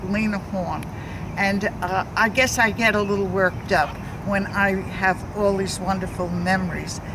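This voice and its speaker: There is noticeable background noise and audible room echo. A woman with a New York accent talks at a medium pitch. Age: 80s+. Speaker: community activist. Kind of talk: interview. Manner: halting.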